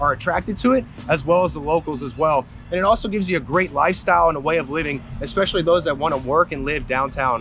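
Faint music plays in the background as a man speaks at a very fast pace. His pitch varies in an ordinary way, and the sound is dry with no echo. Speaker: local neighborhood tour host. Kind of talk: casual vlog tour commentary. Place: street. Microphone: phone near.

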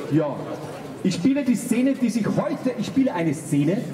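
A man is talking while noticeable background noise runs underneath. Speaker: speaker. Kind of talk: public speech and sketch introduction. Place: street.

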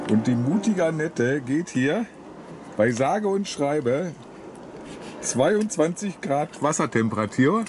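Spoken at a very slow pace with long, frequent pauses, the voice sits against noticeable background noise. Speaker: sailing vlogger filming partner. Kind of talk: casual vlog commentary. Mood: joking, playful. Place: boat. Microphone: phone near.

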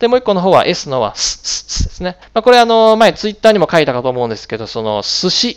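A man's high voice with very wide pitch swings, at a very fast pace with hardly any pauses, over a quiet background. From Japan. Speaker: English pronunciation teacher. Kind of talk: tutorial. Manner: hesitant, many fillers. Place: home room. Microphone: headset.

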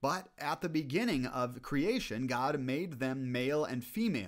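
Ordinary pitch variation from a man, quiet background behind him. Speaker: bible study video host. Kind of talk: scripture reading then commentary. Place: home room. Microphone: studio mic.

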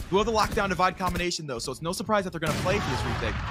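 A man's energetic tone with music in the background. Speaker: esports play-by-play caster. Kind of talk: live esports match commentary. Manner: fast, energetic play-by-play delivery.

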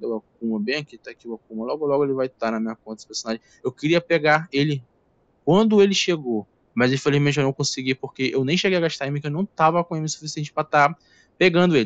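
A man talks at a very fast pace with a fairly high pitch, the sound dry and close with no echo. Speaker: gaming YouTuber. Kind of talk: casual video commentary. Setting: home recording on laptop.

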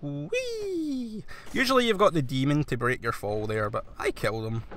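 A man speaks with a Scottish accent. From Scotland. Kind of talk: video game let's play commentary. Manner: casual, conversational.

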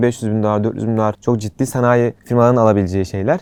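Very fast speech comes from a man whose medium pitch carries fairly even intonation. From Turkey, Antalya. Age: 20s. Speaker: startup founder. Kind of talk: interview.

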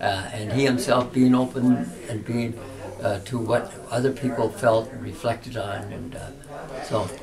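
A man's medium-pitched voice at a fairly slow pace, fairly even in intonation, with noticeable background noise. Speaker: Jesuit priest. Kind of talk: interview answer. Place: home room. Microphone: camera far.

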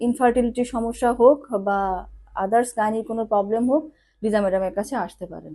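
Against a quiet background, a woman with a fairly high pitch and a dark, mellow tone speaks with big swings in loudness. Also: ordinary pitch variation. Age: 40s. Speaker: patient giving a testimonial. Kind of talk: testimony.

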